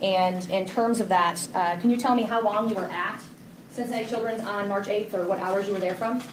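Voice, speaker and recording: A woman's medium-pitched voice with fairly even intonation and audible room echo. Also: fairly quick pace. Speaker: defense attorney. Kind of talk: cross-examination in court. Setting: courtroom. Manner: loud.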